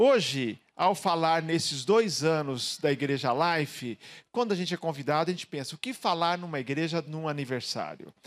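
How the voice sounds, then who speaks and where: With a normal speaking voice, a man of fairly high pitch talks at a moderate pace with lively intonation, recorded very cleanly over a silent background. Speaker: pastor. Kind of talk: sermon. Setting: church.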